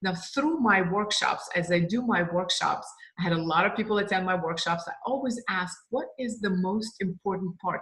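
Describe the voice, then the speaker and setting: A woman talks at a moderate pace and medium pitch, with ordinary pitch variation and hardly any pauses. Noticeable background noise is present. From Russia. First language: Russian. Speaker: sales trainer and business owner. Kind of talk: course introduction.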